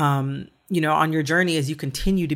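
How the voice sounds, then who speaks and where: A woman's very deep, low voice at a moderate pace, with ordinary pitch variation, on a very clean recording with a silent background. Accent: American. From Michigan. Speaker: podcast host. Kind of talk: interview.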